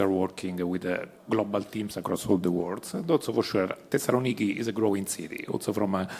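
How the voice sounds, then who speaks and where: A man with an Italian accent, fairly low in pitch, talking at a very fast pace with fairly even intonation. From Italy. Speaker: pharma company executive. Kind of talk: panel discussion. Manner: halting, many fillers.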